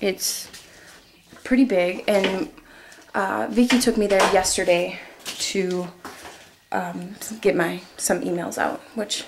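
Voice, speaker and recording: A woman with a medium pitch and ordinary pitch variation speaks at a very slow pace. Her speech has long, frequent pauses, and there is noticeable background noise. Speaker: traveler vlogger on a farm stay. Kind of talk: casual vlog house tour. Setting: indoors, walking through a house. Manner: hesitant, many fillers.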